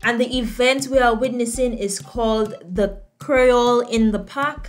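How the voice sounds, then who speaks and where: Over music in the background, a woman with a high pitch speaks at a fairly slow pace. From Dominica. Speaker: vlogger and presenter. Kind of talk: presentation narration. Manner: animated.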